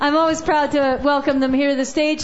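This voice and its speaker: A high-pitched woman against noticeable background noise. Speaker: open mic host. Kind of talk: casual live hosting, MC banter. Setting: live coffee house with audience.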